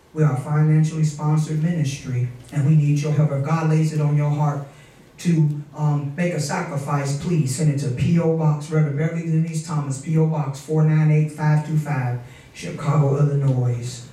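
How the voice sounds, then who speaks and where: A man speaks with monotone, flat intonation. Room echo is audible. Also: moderate pace. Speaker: pastor. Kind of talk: sermon. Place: church.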